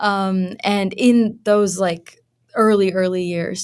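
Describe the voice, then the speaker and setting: A woman in a Pennsylvania accent, monotone and flat in intonation. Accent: American, Pennsylvania. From moved around as a child; from middle school, Philadelphia suburbs, Pennsylvania. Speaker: university researcher. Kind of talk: casual chat.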